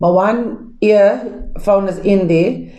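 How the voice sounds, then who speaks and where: Audible room echo around a voice with ordinary pitch variation. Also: woman. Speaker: pastor and Bible teacher. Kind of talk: lecture. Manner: loud; casual, conversational teaching with fillers.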